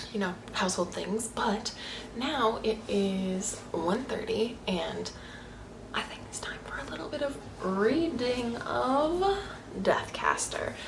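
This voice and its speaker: Speaking quietly and very slowly, a woman with a fairly high pitch uses lively intonation and big swings in loudness, with audible room echo and noticeable background noise. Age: 20s. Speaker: booktuber. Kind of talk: casual vlog chat. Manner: animated.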